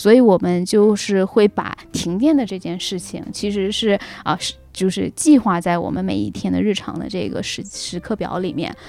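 Music in the background behind a woman, medium pitch, ordinary pitch variation. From Northeast China. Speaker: returning guest sharing travel and work experiences. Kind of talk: casual chat. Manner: halting, many fillers.

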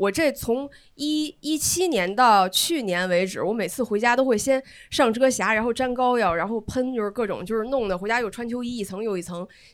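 The speaker's intonation is lively. The recording is very clean, with a silent background. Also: woman. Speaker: audience member. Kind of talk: casual chat.

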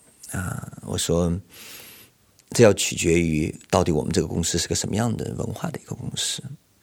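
A man speaks with a very deep, low pitch. His pace is moderate and his pitch variation is ordinary. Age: 50s. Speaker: executive headhunter. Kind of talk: personal testimony.

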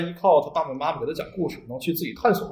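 A man rattles along very fast, his fairly high pitch showing ordinary variation. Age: 30s. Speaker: children's author. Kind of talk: casual interview chat. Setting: non-studio room with reduced sound quality.

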